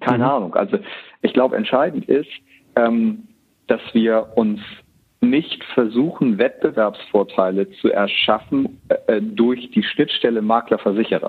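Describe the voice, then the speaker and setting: There is music in the background. Over it, a man talks at a fairly slow pace. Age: younger than the other guest. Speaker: head of digitalization and IT at an insurance broker. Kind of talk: casual expert discussion.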